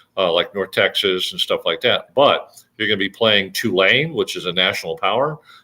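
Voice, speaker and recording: A man speaks at a fairly quick pace in a medium pitch, with an ordinary speaking voice. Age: 60s. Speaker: sports commentator. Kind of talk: casual sports talk. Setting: live stream. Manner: frequent fillers and restarts.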